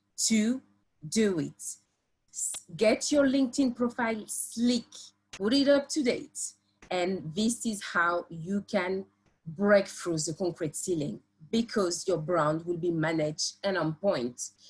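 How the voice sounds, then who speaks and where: With a French accent, a woman speaks at medium pitch in a somewhat breathy voice, fairly slowly, her pitch swinging very widely. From France. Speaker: construction professional and PhD student. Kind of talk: presentation on a live webinar. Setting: live online stream. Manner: hesitant, many fillers.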